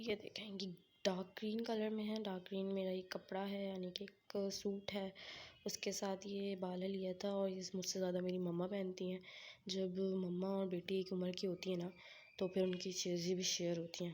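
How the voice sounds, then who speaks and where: A woman talks in a dark, mellow tone. Her intonation is monotone and flat. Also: medium pitch for a woman, fairly slow pace. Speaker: vlogger. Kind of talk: casual show-and-tell vlog.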